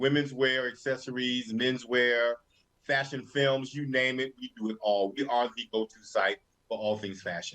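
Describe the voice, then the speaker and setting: The voice has a Southern US accent and a bright, sharp tone. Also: man. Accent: Southern US accent, noticeable. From North Carolina. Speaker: fashion show co-host. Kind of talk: casual chat.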